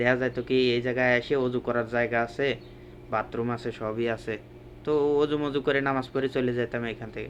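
A man speaks with a Pabna accent. His intonation is monotone and flat. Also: medium pitch for a man. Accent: Pabna regional Bengali dialect. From Bangladesh, Pabna district. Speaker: migrant worker and vlogger. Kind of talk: walking vlog narration. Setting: outdoors, walking by roadside. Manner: casual colloquial dialect.

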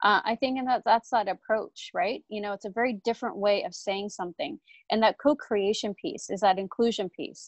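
Against a quiet background, a woman talks in an ordinary speaking voice at a fairly high pitch and fairly quick pace, with ordinary pitch variation and a dry, close sound with no echo. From Canada. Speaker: screenwriter and author. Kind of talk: panel discussion. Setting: video call.

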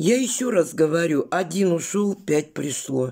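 The voice has a dark, mellow tone and moves at a very slow pace. The background stays quiet. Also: woman. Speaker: vlogger. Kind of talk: casual vlog chat. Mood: indignant, defiant. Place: home room. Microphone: phone near.

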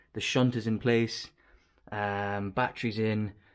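Speaking with fairly even intonation, a man has an unremarkable speaking voice that sits fairly low in pitch. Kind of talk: casual vlog tutorial. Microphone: phone near.

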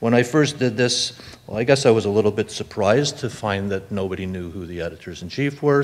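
A man's speech moves at a moderate pace, his pitch varying in an ordinary way. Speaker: conference presenter. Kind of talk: lecture. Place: hall. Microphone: podium.

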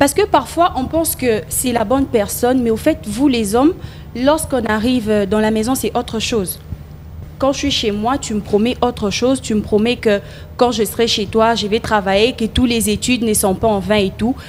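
Moderate pace and ordinary pitch variation over light background noise. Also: woman. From DR Congo. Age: 20s. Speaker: student; talk show guest. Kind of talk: TV talk show. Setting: TV studio. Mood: earnest, advising. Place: studio. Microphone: handheld.

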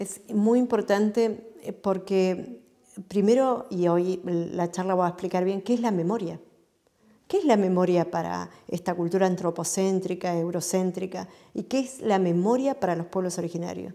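Here a woman talks at a fairly slow pace with ordinary pitch variation and a dark, mellow tone. The background is quiet. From Patagonia, Chubut, Argentina; Chubut, Argentina. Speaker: interviewee. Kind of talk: interview monologue; interview answer. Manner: frequent hesitations (eh). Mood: earnest, reflective. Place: home room. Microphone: lapel.

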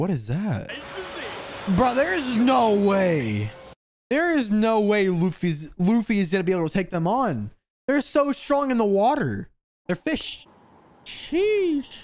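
With very wide pitch swings, a man talks at a fairly slow pace and takes long, frequent pauses. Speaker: reaction streamer. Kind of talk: casual reaction commentary. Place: home room. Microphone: studio mic.

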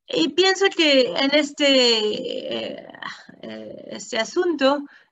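A woman is speaking. She has a French accent. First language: French (speaking Spanish). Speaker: academic researcher; academic lecturer. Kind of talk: lecture. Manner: halting.

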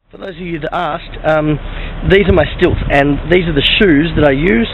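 A man's fairly high voice in an Australian accent at a fairly quick pace, over noticeable background noise. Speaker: vaudeville street performer. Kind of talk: casual talk to camera. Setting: outdoors. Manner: chatty, jokey.

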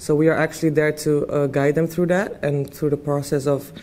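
In a dark, mellow tone, a woman speaks at a very deep, low pitch with monotone, flat intonation. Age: 20s. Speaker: university student and peer mentor. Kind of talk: interview answers. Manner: halting, many fillers. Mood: friendly, relaxed. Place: classroom. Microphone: lapel.

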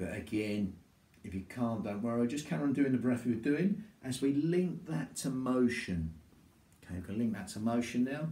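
In a room with audible echo, a voice with a dark, mellow tone talks at a moderate pace. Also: man. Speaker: qigong instructor. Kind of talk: exercise class instruction. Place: home room. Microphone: camera far.

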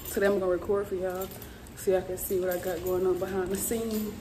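A woman talks at a very fast pace in a monotone, flat intonation against noticeable background noise. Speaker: fitness vlogger. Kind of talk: casual vlog chat.

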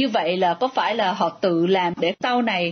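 Using a plain, everyday voice, a woman talks at a fairly slow pace with ordinary pitch variation. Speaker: radio reporter. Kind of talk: interview.

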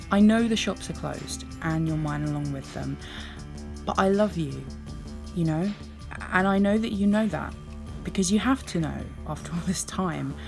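Music plays in the background. The speaker leaves long, frequent pauses. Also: woman, moderate pace. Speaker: poet. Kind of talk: poetry reading.

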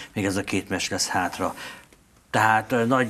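A man talks at a moderate pace with fairly even intonation. His pitch sits fairly low. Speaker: sports news host. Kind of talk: casual interview chat about football. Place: studio.

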